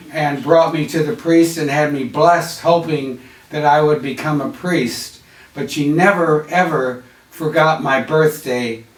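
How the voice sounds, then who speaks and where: Over noticeable background noise, a man with an American accent speaks at a fairly slow pace. His pitch is fairly high and his intonation fairly even. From US Midwest, Chicago. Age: 80s+. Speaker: artist. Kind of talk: interview. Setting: on camera interview.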